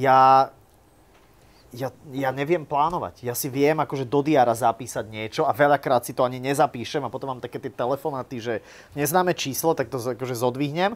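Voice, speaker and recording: A man talks in a plain, everyday voice. His pitch varies in an ordinary way. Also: medium pitch for a man, fairly quick pace. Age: 30s. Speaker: YouTuber and vlogger. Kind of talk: live interview before an audience.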